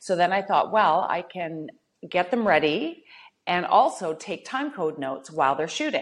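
Using lively intonation, a woman with a Canadian prairie accent speaks at a moderate pace with a fairly low pitch. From Canada, rural Saskatchewan. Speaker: reality TV personality and model. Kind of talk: casual interview chat.

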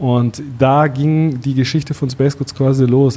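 Somewhat breathy and medium in pitch, a man speaks at a moderate pace. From Bavaria, Allgäu (Kaufbeuren). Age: 30s. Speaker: startup founder, e-commerce entrepreneur. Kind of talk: podcast interview.

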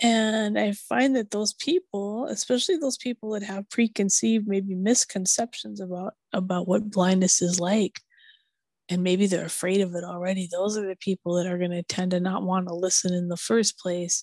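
In a plain, everyday voice, a woman with an American accent speaks at a moderate pace and medium pitch with ordinary pitch variation, the sound dry and close with no echo. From Minneapolis, US Midwest. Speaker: blind podcaster. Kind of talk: casual chat.

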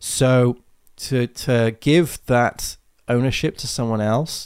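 In a British accent, the speaker uses ordinary pitch variation on a very clean recording with a silent background. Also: man. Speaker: tech podcast host and developer. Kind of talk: live-streamed solo podcast. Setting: live stream with new microphone. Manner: halting, many fillers.

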